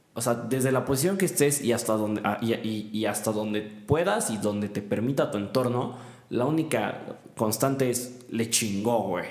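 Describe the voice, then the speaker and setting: A man speaks at a fairly slow pace. There is noticeable background noise and audible room echo. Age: 20s. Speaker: podcast host and university student. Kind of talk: casual chat.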